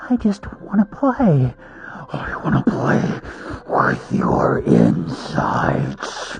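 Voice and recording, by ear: A man puts on a character voice with vocal fry and very wide pitch swings, speaking at a very slow pace. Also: medium pitch for a man.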